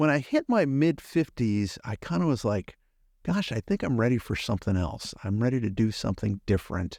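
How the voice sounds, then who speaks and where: A man with a medium pitch speaks at a fairly quick pace with lively intonation, in an unremarkable speaking voice. The sound is dry and close with no echo. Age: 60s. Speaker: podcast host and business owner, guest. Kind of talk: interview conversation.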